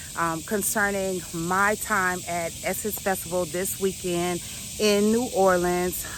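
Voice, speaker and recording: Noticeable background noise runs through the clip. Over it, a woman speaks. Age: 50s. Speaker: life vlogger and coach. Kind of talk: casual talk to camera. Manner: reflective, emotional.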